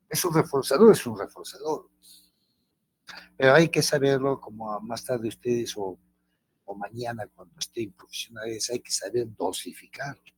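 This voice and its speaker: In a dry, close sound with no echo, a man speaks at a moderate pace and medium pitch, somewhat breathy, with ordinary pitch variation and big swings in loudness. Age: 70s. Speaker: teacher. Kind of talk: lecture. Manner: halting.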